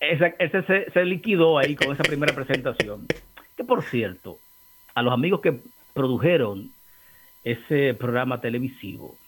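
A man's fairly high voice at a moderate pace, broken by long, frequent pauses. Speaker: political commentator, co-host. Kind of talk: casual chat.

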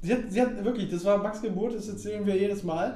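A man with a high pitch and fairly even intonation talks amid audible room echo. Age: 20s. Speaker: podcast host. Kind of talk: casual chat.

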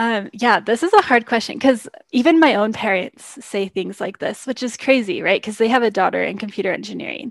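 A woman with a fairly high voice and vocal fry talks at a fairly quick pace with hardly any pauses. Her pitch varies in an ordinary way. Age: 20s. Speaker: software engineer. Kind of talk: interview. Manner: filler-heavy, lots of um and like.

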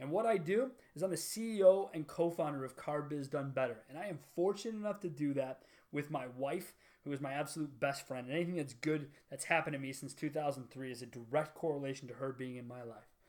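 A man's fairly high-pitched, fairly quick, ordinary speaking voice on a very clean recording with a silent background. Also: ordinary pitch variation. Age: 30s. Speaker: car business entrepreneur and podcast host. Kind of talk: solo monologue introducing a podcast.

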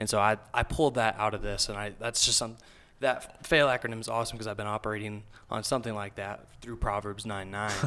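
Music plays behind a man with a Texan accent who talks at a very fast pace in a fairly low pitch with fairly even intonation. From South Texas. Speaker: book club member. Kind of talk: casual chat.

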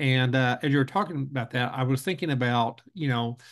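An American accent marks this man's medium-pitched voice. He uses ordinary pitch variation against a quiet background. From Oklahoma, Lawton. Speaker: podcast host, school association director. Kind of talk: interview conversation. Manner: halting, many fillers and repeats.

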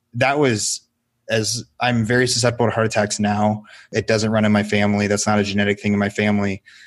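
Against a quiet background, a man talks at a fairly quick pace with a fairly low pitch and monotone, flat intonation. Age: 20s. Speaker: portrait photographer. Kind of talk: interview.

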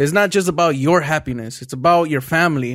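In a very clean recording with a silent background, a man with a plain, everyday voice speaks at a fairly high pitch and a fairly quick pace, his intonation lively. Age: 20s. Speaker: entrepreneur and podcast co-host. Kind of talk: casual chat.

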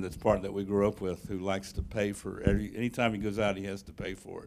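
Speaking at a very fast pace, a man with a Southern US accent has a fairly low pitch. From US South (Tennessee). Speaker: church member introducing the speaker. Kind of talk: speaker introduction. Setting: church. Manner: halting.

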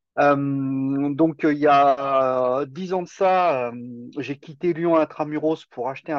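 The speaker is a man. His pitch is medium. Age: 50s. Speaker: self-sufficiency farmer. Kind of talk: podcast interview. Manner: hesitant, repeats words.

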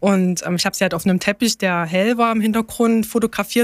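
Recorded very cleanly against a silent background with a dry, close sound and no echo, a woman speaks at a very fast pace with fairly even intonation. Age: 30s. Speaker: parent on parental leave, car dealership employee. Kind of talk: interview about travel experience.

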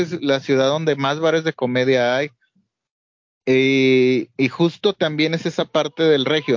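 A man with a plain, everyday voice speaks at a fairly slow pace, his fairly high pitch held in fairly even intonation and his loudness very even. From Mexico, Monterrey (Nuevo León), born in Guadalajara. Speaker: podcast co-host. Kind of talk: casual chat. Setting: remote call.

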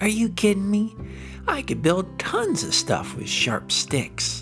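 Over clear music in the background, a man does a put-on character voice at a fairly slow pace. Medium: read story. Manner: eager, excitable.

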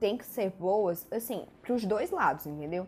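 The delivery has a moderate pace and lively intonation. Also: woman. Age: 20s. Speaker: podcast host, actress and writer. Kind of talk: solo podcast monologue. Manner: animated.

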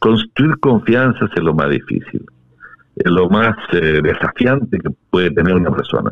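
Fairly slow and very deep in pitch, a man's voice swings very widely in pitch while his loudness stays very even. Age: old. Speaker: constitutional convention delegate. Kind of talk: interview.

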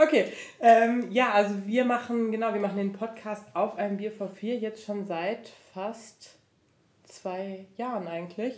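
A woman speaks at a fairly slow pace with a fairly high pitch. She has a normal speaking voice and fairly even intonation. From Franconia, Germany. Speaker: podcaster. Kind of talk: casual chat.

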